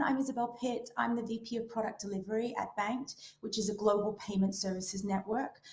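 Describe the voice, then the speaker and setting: Over noticeable background noise, a woman with an Australian accent speaks at a moderate pace and medium pitch. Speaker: payments product executive. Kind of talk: panel self-introduction.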